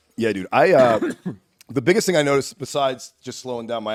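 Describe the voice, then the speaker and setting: A man with a New York accent, very fast and lively in intonation, in a dry, close recording with no echo. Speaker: comedian and podcast host. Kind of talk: casual chat.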